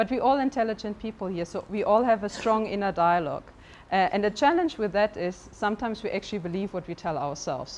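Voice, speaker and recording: A woman with a German accent talks at a very fast pace with lively intonation. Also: medium pitch for a woman. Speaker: life coach. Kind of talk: motivational talk. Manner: hesitant, with fillers.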